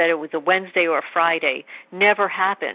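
A woman with a normal speaking voice moves at a fairly quick pace, her pitch varying in an ordinary way. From New York. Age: 50s. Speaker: animal rescuer. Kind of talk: testimony.

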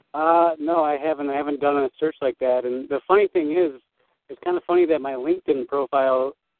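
An unremarkable speaking voice from a man, fairly high in pitch and fairly quick in pace. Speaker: caller. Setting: phone call.

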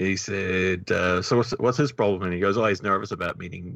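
Against a quiet background, a man in a New Zealand accent talks at a fairly quick pace, his fairly low pitch varying in an ordinary way. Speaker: podcast co-creator. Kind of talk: casual interview.

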